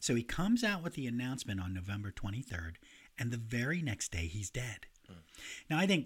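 A man with a medium-pitched, somewhat breathy voice talks at a fairly quick pace with very wide pitch swings, recorded very cleanly against a silent background. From grew up in a city. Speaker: music podcast co-host. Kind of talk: casual chat about music history; reading prepared notes. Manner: animated.

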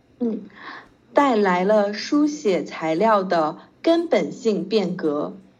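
Her pitch swinging very widely around a medium level, a woman speaks at a very slow pace with audible room echo. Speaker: Chinese language tutor. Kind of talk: language lesson. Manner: slow, patient.

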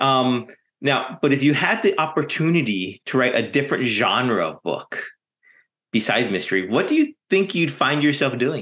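A man speaks in a normal speaking voice at a moderate pace. His pitch is fairly high and his intonation lively. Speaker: podcast host. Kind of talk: casual interview conversation.

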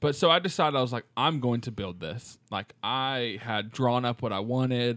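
On a very clean recording with a silent background, an unremarkable speaking voice flows at a moderate pace with hardly any pauses and ordinary pitch variation. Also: man, medium pitch for a man. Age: 20s. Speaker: podcast co-host, teacher. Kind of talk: casual chat.

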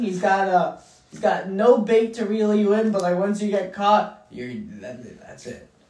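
Over noticeable background noise, a man speaks at a fairly slow pace with hardly any pauses. His pitch is high, with ordinary pitch variation and big swings in loudness. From Filipino heritage. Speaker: podcast co-host. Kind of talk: casual chat.

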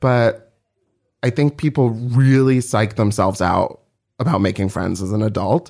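A man speaks in a normal speaking voice, medium in pitch, with ordinary pitch variation and a moderate pace. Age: 30s. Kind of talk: casual chat.

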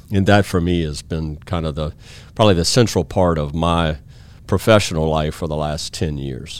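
In a Louisiana accent, a man with a very deep, low voice speaks at a moderate pace with ordinary pitch variation, recorded very cleanly over a silent background. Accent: Louisiana Southern American. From US South, Baton Rouge, Louisiana. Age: 50s. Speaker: IT company CEO. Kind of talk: interview conversation.

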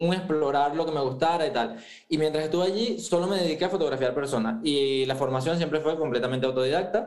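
With audible room echo and noticeable background noise, a man with a fairly high pitch speaks at a very fast pace, his loudness very even and his pitch varying in an ordinary way. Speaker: food photographer. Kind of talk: interview.

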